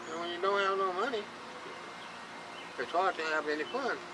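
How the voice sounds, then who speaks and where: A raised, projected voice with a Southern US accent at a fairly quick pace, ordinary pitch variation, audible room echo and noticeable background noise. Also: man. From Chattanooga, Tennessee. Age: 60s. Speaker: homeless man. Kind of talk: interview. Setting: outdoors on a bridge. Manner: halting, repeats words.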